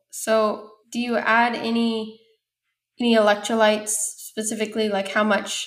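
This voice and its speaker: The speaker is a woman with a fairly high voice. Her pace is moderate. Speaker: podcast host. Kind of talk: casual interview.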